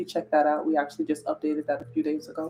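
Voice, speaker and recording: A woman is speaking quietly. Music plays in the background. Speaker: wellness content creator. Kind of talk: casual live stream chat. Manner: quiet, talking low.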